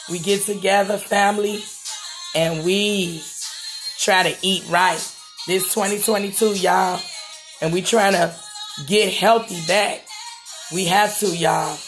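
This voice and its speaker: The speech moves at a very slow pace with long, frequent pauses while clear music plays in the background. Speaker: home cook vlogger. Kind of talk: casual vlog chat. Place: kitchen. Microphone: phone near.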